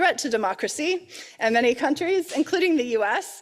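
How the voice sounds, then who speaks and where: Very wide pitch swings mark this woman's fairly quick speech on a very clean recording with a silent background. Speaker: academic researcher. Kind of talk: conference presentation. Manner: hesitant, many fillers.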